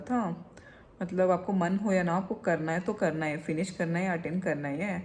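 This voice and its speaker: Somewhat breathy and fairly low-pitched, a woman speaks at a moderate pace with fairly even intonation. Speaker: vlogger. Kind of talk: casual vlog chat.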